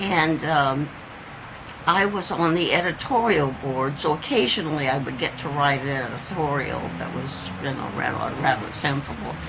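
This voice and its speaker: The speaker has a Midwestern American accent, lively intonation and a moderate pace. Noticeable background noise and audible room echo fill the recording. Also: woman, very deep, low pitch for a woman. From Indiana. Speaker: oral history interviewee. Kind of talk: oral history interview. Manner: halting.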